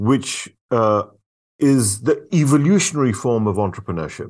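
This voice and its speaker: A man speaks against a quiet background. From India, moved to UK at ten. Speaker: business consultant. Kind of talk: interview. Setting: remote call. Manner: halting, many repetitions.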